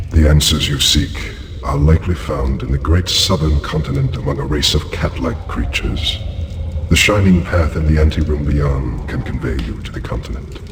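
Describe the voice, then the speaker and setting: In a cartoonish character voice, a man speaks at a moderate pace with a clear echo and clear background noise. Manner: solemn, measured, detached.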